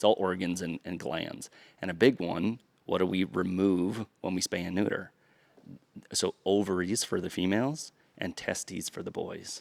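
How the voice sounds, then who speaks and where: A man talks at a moderate pace with a very deep, low pitch and ordinary pitch variation. The sound is dry and close, with no echo. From US East Coast. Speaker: dog trainer. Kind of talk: podcast interview. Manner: halting.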